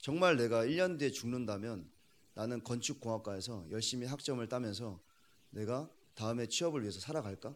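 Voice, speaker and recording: At a fairly quick pace, this is an ordinary speaking voice with lively intonation. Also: man, medium pitch for a man. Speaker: young adventurer and challenge-seeker. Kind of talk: interview.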